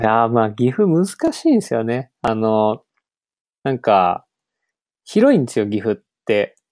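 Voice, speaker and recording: A man with a plain, everyday voice at a medium pitch speaks at a fairly slow pace with ordinary pitch variation, in a dry, close sound with no echo on a very clean recording with a silent background. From western Gifu, Japan. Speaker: software developer, conference organizer. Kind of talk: casual chat.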